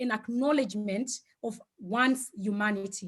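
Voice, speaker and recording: This woman speaks with a Zimbabwean accent. Her pace is moderate. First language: Shona. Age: 40s. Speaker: speaker on Ubuntu philosophy. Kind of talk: online talk. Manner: hesitant, many fillers.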